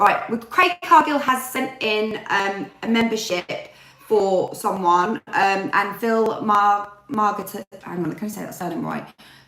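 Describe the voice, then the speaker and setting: A woman with an English accent talks at a fairly slow pace and a medium pitch. Noticeable background noise sits behind her voice. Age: 40s. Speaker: YouTuber. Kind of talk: casual chat. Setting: live stream. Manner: chatty.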